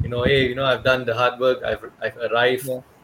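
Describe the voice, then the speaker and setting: Noticeable background noise sits behind a man whose voice is fairly high in pitch. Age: 30s. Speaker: podcast host. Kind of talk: casual chat.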